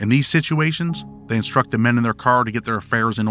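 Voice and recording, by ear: A natural voice, reading aloud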